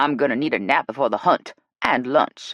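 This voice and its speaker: In a growling, put-on character voice, a man speaks at medium pitch and a fairly quick pace. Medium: read story. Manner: blunt, dry.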